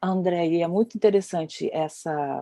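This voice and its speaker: A woman speaks in a dark, mellow tone with ordinary pitch variation, in a dry, close sound with no echo. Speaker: dance researcher and lecturer, panelist. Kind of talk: panel discussion talk. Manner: hesitant, many fillers.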